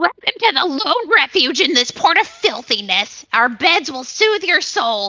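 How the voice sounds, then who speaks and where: A high-pitched, put-on character voice swings very widely in pitch at a moderate pace with hardly any pauses. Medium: voice reel. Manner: polite, welcoming.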